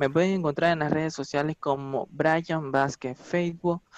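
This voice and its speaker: A man talks with fairly even intonation against a quiet background, the sound dry with no echo. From Ecuador. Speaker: salsa and reggaeton singer; interviewee. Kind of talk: casual interview; interview answer. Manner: halting, many repetitions and fillers. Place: home room. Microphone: video call.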